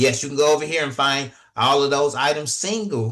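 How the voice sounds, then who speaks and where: A man with an unremarkable speaking voice at a moderate pace, ordinary pitch variation and a quiet background. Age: 40s. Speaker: online business trainer. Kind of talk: tutorial.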